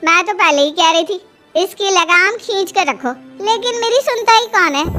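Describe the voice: A woman uses a cartoonish character voice pitched extremely high. She talks at a moderate pace over faint background music.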